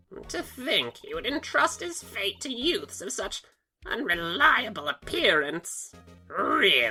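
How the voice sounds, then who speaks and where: Doing a put-on character voice, a woman speaks high-pitched at a fairly slow pace, with faint music in the background. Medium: fan dub. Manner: bossy, condescending.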